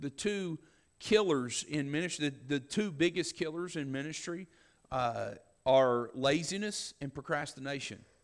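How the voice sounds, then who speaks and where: In a very clean recording with a silent background, a man with a Southern US accent speaks at a fairly slow pace, his fairly high voice carrying lively intonation. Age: 40s. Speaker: pastor. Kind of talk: sermon. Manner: halting.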